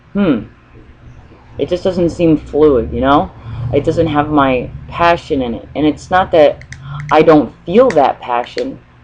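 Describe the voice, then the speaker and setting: A woman's very deep, low voice at a fairly slow pace, with ordinary pitch variation, long, frequent pauses and noticeable background noise. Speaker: spiritual channeler vlogger. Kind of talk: free-form spiritual monologue. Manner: hesitant, many pauses; stutters.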